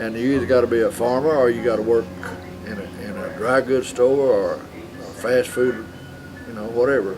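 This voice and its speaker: Amid noticeable background noise, a man with a West Texas accent speaks at medium pitch with ordinary pitch variation, big swings in loudness, and long, frequent pauses. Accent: West Texas drawl. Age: 70s. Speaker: small-town resident interviewed. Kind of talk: casual interview. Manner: halting, repeats words.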